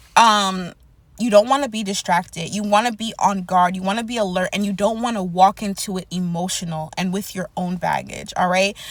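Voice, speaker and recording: This somewhat breathy voice moves at a fairly quick pace with fairly even intonation. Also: woman, medium pitch for a woman. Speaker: prophetic word YouTuber. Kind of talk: prophetic encouragement monologue.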